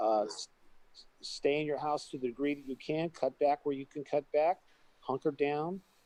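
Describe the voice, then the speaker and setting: A man's fairly high voice in a dark, mellow tone, at a moderate pace with fairly even intonation and big swings in loudness, in a dry, close sound with no echo. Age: 70s. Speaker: pool hall owner. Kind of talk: interview.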